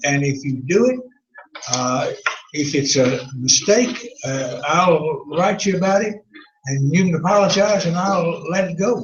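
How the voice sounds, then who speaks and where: A high-pitched man with lively intonation at a fairly slow pace, amid audible room echo. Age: 80s+. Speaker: Bible class teacher. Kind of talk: Bible class lecture. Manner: halting.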